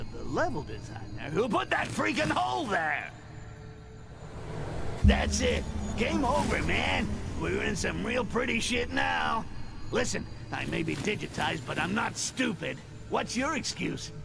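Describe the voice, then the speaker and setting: A gravelly put-on character voice from a man at a moderate pace, over loud background noise. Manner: sarcastic, ranting.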